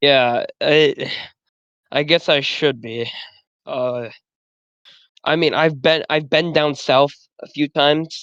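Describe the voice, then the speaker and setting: Very slow pace with an American accent, broken by long, frequent pauses. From US Midwest. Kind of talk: casual chat.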